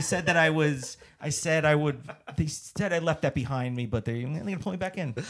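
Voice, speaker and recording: A man with an American accent talks at a fairly quick pace in a fairly high pitch. His pitch variation is ordinary, and there is noticeable background noise. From New Jersey. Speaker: stand-up comedian and actor. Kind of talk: casual interview chat. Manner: fast.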